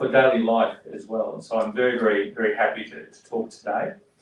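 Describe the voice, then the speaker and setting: Speaking at a fairly quick pace, a man has a strong Australian accent. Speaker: politician. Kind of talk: speech at community event. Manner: halting, with fillers and repetitions.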